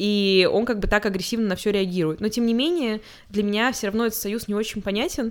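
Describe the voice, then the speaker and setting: A woman talks at a fairly quick clip in an animated tone. Her pitch sits in the middle range. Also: very clean recording, silent background. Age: 20s. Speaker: podcast co-host. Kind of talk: casual chat.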